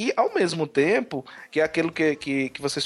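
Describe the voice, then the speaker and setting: At a moderate pace, a man talks in a northeastern Brazilian accent. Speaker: podcaster. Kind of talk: casual chat.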